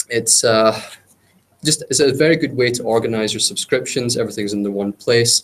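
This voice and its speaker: In a British accent, a man talks at a fairly quick pace. His pitch is medium, with ordinary pitch variation. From UK. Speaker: cloud consultant / meetup speaker. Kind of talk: technical presentation. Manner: hesitant, many filler words.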